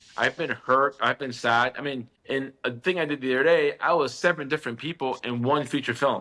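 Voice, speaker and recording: Bright and sharp in tone, a man talks at a fairly high pitch. He moves at a fairly quick pace with hardly any pauses. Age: 50s. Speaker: actor. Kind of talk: casual chat. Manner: animated.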